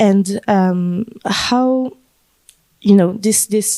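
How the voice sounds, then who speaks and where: A woman with a French accent, a medium pitch and a dark, mellow tone on a very clean recording with a silent background. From France, Paris. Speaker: panel moderator. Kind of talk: panel discussion. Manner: halting, many fillers.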